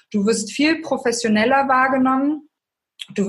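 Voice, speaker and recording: A woman's voice with lively intonation at a fairly slow pace. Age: 30s. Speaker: author and life coach. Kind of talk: interview.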